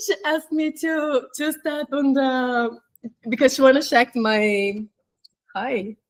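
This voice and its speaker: A woman talks at a high pitch and a very slow pace with ordinary pitch variation, in a dry, close sound with no echo. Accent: Portuguese. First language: Portuguese. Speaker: flight attendant. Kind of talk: interview. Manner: halting.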